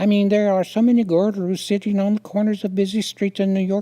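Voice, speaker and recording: Putting on a nasal character voice, a man speaks at a high pitch and moderate pace with fairly even intonation. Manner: rapid-fire speech.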